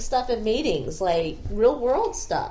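A woman speaks with lively intonation, and noticeable background noise can be heard. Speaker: pharmacy worker, co-host. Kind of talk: casual chat.

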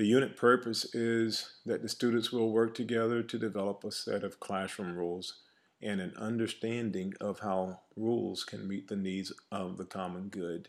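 A man speaks at a moderate pace in a fairly low pitch with fairly even intonation and a plain, everyday voice. The recording is very clean, with a silent background. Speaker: teacher presenting lesson plan. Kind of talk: reading aloud a lesson plan.

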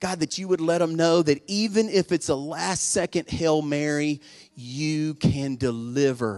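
At a fairly slow pace, a man talks in a normal speaking voice with fairly high pitch and ordinary pitch variation, the sound dry and close with no echo. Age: 40s. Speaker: pastor. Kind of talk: sermon. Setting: church with congregation. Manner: urgent, fervent preacher in full flow, pleading altar call; casual, conversational, self-deprecating and humorous.

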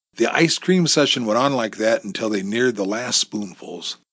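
Intonation here is lively. The delivery is a natural reading voice.

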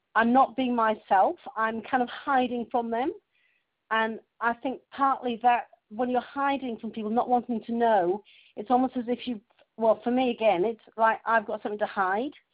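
With fairly even intonation and a fairly high pitch, a woman talks in an unremarkable speaking voice. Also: moderate pace. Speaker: webinar participant. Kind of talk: casual chat. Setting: phone conference. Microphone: telephone line.

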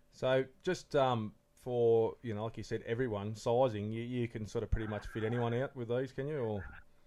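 His intonation fairly even, a man speaks at a medium pitch. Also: moderate pace. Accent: Australian. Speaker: podcast co-host, lure maker. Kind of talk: casual chat. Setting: home shed recording.

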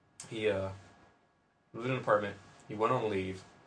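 A man's fairly low voice at a very fast pace, with fairly even intonation and audible room echo. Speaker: podcast host, submarine veteran. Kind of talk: casual chat.

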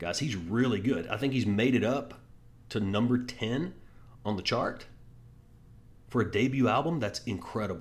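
Speaking with an American accent, a man at medium pitch sounds somewhat breathy and animated, with lively intonation at a fairly slow pace and audible room echo. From Texas. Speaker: sports podcast host. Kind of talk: casual sports talk monologue.

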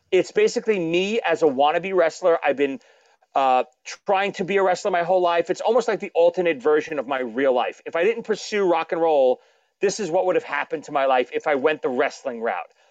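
Talking in a Brooklyn accent, a man with a high-pitched voice moves at a fairly quick pace, his intonation lively. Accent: Brooklyn New York, noticeable. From Brooklyn, New York. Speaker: drummer, author and podcaster. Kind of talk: casual interview chat.

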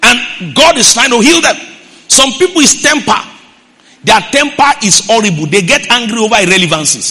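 At a moderate pace, a man uses a raised, projected voice of extremely high pitch, with very wide pitch swings yet very even loudness. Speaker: pastor. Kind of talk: sermon. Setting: church.

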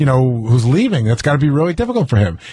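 The speech comes at a very fast pace with lively intonation. The voice is somewhat breathy. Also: man. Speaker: radio show co-host. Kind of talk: casual radio banter. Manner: excitable, rambling.

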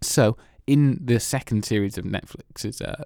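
On a very clean recording with a silent background, a man speaks at a fairly slow pace in a dark, mellow tone, with ordinary pitch variation and a dry, close sound with no echo. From Wales. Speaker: film podcast host. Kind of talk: casual chat.

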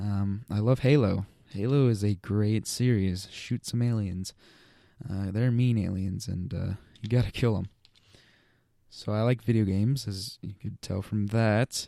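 In a very clean recording with a silent background, a man speaks at a fairly slow pace with a fairly low pitch, fairly even intonation and a dark, mellow tone. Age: young. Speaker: podcast host and YouTuber. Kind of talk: casual solo monologue. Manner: hesitant, many fillers.

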